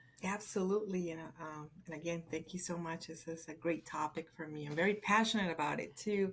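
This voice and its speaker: A woman with a Spanish accent speaks at a fairly quick pace with hardly any pauses, her fairly low voice keeping a fairly even intonation while her loudness swings widely. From Colombia. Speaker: podcast guest. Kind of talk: casual interview.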